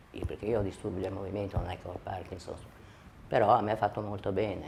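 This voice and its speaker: The speaker talks at a very fast pace in a somewhat breathy, monotone, flat delivery. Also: woman. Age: 60s. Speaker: patient giving a testimonial. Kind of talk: testimony. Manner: halting.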